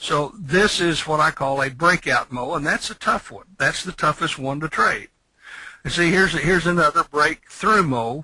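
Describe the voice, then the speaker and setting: Bright and sharp in tone, a man's fairly high voice moves at a moderate pace with ordinary pitch variation, heard dry and close with no echo. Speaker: trading instructor. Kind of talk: lecture.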